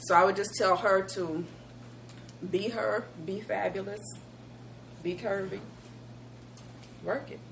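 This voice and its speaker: Pausing long and often, a woman talks at a fairly slow pace with big swings in loudness and audible room echo. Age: middle-aged. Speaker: co-host. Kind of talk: casual chat.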